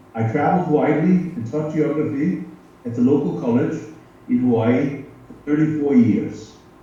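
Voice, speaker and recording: A man with an American accent speaks at a moderate pace and a fairly high pitch, leaving long, frequent pauses. Room echo is audible, along with noticeable background noise. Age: 80s+. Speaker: retired geography professor. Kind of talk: prepared speech.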